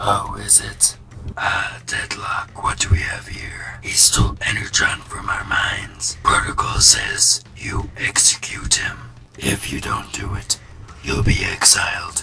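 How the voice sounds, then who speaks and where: Speaking in a whisper, a man goes at a rather slow pace. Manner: menacing, cold.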